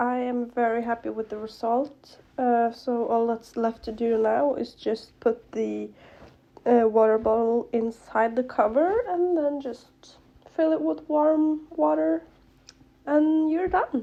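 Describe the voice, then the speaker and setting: Very slowly and with lively intonation, a woman with a non-native accent speaks in a fairly high, dark, mellow tone. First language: not English. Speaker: craft youtuber. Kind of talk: tutorial. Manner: casual, filler-heavy.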